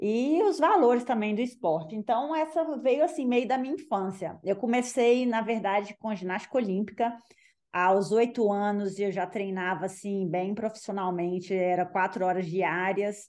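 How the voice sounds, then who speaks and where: With lively intonation and a moderate pace, a woman speaks in a normal speaking voice at a medium pitch. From Minas Gerais, Brazil (Belo Horizonte). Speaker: ultramarathon runner. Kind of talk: casual interview.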